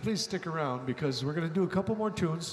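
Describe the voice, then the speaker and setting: In a Canadian accent, a man speaks with a high pitch. Audible room echo and noticeable background noise fill the recording. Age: 70s. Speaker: singer-songwriter. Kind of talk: stage banter between songs. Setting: stage with audience. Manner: halting, many fillers.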